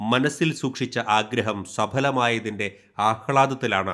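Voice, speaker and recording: A man talks in an ordinary speaking voice at a medium pitch with ordinary pitch variation on a very clean recording with a silent background. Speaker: news reporter. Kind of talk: news voice-over narration. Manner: formal.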